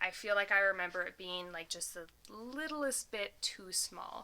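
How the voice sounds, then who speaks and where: Speaking at a fairly slow pace with an American accent, a woman uses a bright, sharp tone and lively intonation. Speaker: minimalism YouTuber. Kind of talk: casual vlog.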